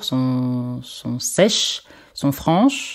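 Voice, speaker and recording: Very slowly, a woman speaks at a very deep, low pitch in a dark, mellow tone. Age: 30s. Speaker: martial arts instructor. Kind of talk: interview.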